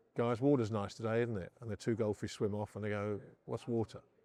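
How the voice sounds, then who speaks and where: The speaker is a man talking at a moderate speed. His voice is pitched in the medium range. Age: 50s. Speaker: investor and gold advocate. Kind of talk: interview. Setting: conference on-site. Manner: halting, repeats words.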